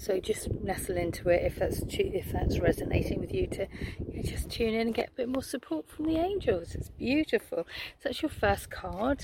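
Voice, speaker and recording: A woman talks at a moderate pace while noticeable background noise carries on beneath her. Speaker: spiritual wellbeing coach. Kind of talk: casual vlog with oracle card reading. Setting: outdoors on a beach.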